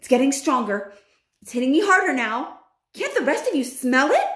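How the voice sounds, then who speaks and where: A shrill, put-on character voice moves along at a moderate pace. Echo is audible around it. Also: woman, high pitch for a woman. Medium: read story.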